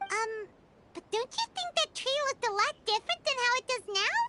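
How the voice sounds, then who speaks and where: This is a put-on character voice. It is squeaky and extremely high in pitch. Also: moderate pace. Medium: video game. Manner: inquisitive.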